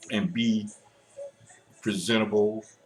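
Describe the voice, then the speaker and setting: A man speaks at a very slow pace with ordinary pitch variation while music plays in the background. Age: 60s. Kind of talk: casual talk to camera. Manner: hesitant, halting.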